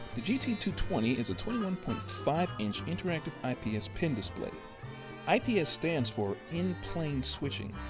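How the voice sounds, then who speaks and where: Music plays behind the speaker. A man's pitch swings very widely. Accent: American. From Chicago. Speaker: tech reviewer. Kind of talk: product review narration.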